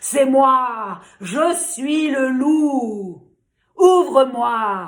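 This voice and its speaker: Speaking at a very slow pace, a woman puts on a character voice pitched high. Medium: read story. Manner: menacing.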